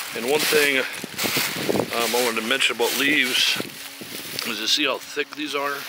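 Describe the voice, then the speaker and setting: In a room with audible echo and noticeable background noise, a man speaks in a fairly high pitch with monotone, flat intonation. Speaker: gardening vlogger. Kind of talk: casual tutorial. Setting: outdoors in garden. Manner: slow; hesitant, many fillers.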